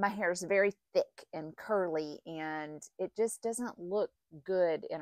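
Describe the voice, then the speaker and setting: Against a quiet background, a woman's fairly low voice carries ordinary pitch variation in a dry sound with no echo. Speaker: knitting vlogger. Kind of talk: casual vlog chat. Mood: cheerful, relaxed. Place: home room. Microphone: lapel.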